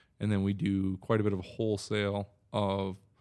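Delivered at a moderate pace, the speech sits in a very clean recording with a silent background. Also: man. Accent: American. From Wisconsin. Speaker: cannabis business owner. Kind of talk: casual interview.

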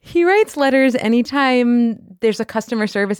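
The recording is very clean, and the background is silent. The voice belongs to a woman. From New York area. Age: 30s. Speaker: litigant in comedic dispute. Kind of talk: casual testimony.

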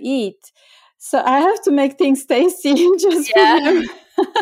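In a Bulgarian accent, the speaker uses a dark, mellow tone, lively intonation and a fairly slow pace on a very clean recording with a silent background. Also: woman. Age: 50s. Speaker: chef and cookbook author. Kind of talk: interview.

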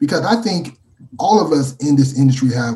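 With an American accent, a man speaks at a fairly high pitch. His tone is dark and mellow and somewhat breathy. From Texas. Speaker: hemp transport company co-founder. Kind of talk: interview.

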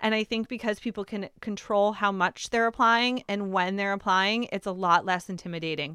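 A woman talks at a moderate pace and medium pitch with a bright, sharp tone and fairly even intonation. She hardly pauses, and the sound is dry and close with no echo. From New England. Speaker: CBD business owner. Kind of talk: interview. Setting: studio.

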